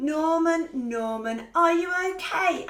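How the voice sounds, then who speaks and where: In a put-on character voice of extremely high pitch, the words come at a very slow pace. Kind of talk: bedtime story. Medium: read story.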